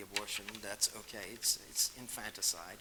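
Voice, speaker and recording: A man talks at a moderate pace with an American accent while noticeable background noise carries on. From Massachusetts. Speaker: author and speaker. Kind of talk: Q&A after a lecture. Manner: halting, with many fillers.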